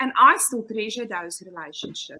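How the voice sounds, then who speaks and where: Speaking at a moderate pace, a woman with a South African accent uses a raised, projected voice. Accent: Afrikaans accent in English. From South Africa, Pretoria. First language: Afrikaans. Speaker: kindergarten teacher. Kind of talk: casual chat.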